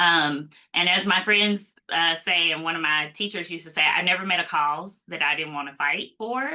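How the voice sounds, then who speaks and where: The speech runs on with hardly any pauses. Its pitch varies in an ordinary way. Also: woman, fairly low pitch for a woman, moderate pace. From US South, Mississippi. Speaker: cybersecurity policy expert, attorney. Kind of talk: live Q&A interview.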